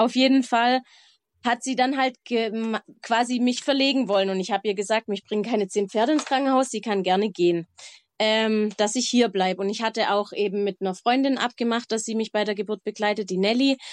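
Against a quiet background, a woman talks fairly quickly at a fairly high pitch with ordinary pitch variation and long, frequent pauses, the sound dry and close with no echo. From Baden-Württemberg, Germany. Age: 30s. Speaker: mother telling her birth story. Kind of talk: personal narrative in casual interview.

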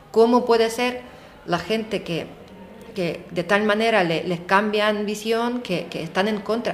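Delivered at a fairly slow pace with fairly even intonation, the speech carries audible room echo and noticeable background noise. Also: woman, fairly high pitch for a woman. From Ukraine. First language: Ukrainian or Russian (speaking Spanish). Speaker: Ukrainian interviewee. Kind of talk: interview. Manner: halting, with fillers.

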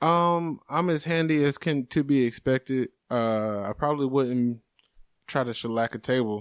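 Recorded very cleanly with a silent background and a dry, close sound with no echo, a man with an American accent speaks in a normal speaking voice at a medium pitch, with ordinary pitch variation and very even loudness. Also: moderate pace. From Jacksonville, Florida. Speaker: stand-up comedian. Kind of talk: casual chat.

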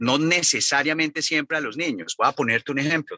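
A man speaks with a bright, sharp tone. The sound is dry and close with no echo, and the background is quiet. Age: 50s. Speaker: foundation director. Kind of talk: interview.

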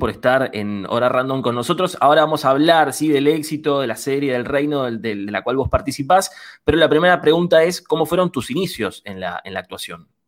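Fairly quick with hardly any pauses, an ordinary speaking voice uses lively intonation on a very clean recording with a silent background. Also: man. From Buenos Aires western suburbs. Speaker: student radio host. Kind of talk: radio interview.

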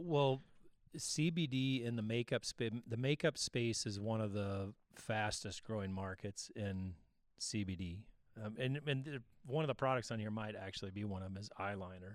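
A man with an American accent speaks at a moderate pace and medium pitch. His is an unremarkable speaking voice. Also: ordinary pitch variation. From Missouri. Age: 50s. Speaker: podcast co-host, CBD specialist, army veteran. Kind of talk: casual chat.

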